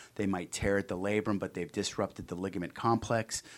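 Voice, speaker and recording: A man's unremarkable speaking voice, fairly low in pitch with fairly even intonation and an American accent, on a very clean recording with a silent background. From Cincinnati, Ohio (US Midwest). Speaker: orthopedic surgeon. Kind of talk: interview.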